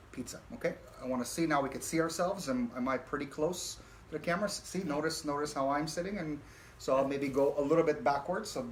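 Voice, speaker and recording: Over noticeable background noise, a man with a fairly high voice talks at a very fast pace with ordinary pitch variation. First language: not English. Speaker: talk show host. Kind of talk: casual chat. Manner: hesitant, many fillers.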